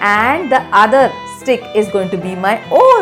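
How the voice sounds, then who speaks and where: A woman speaks in a warm tone with very wide pitch swings as music plays in the background. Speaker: children's book author. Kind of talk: children's read-aloud storytelling. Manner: warm, engaging, addressing young children.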